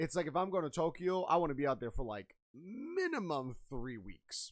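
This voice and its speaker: Loud and fairly high for a man, his voice swings very widely in pitch at a moderate pace. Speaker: podcast host. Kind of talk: casual chat.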